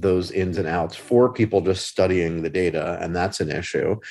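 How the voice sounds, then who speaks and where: A man speaks in a fairly low voice against a quiet background. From Philadelphia. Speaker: podcast host. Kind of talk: casual interview conversation. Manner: fast talker.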